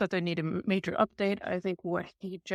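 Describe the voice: This is plain reading aloud. Nothing more is given.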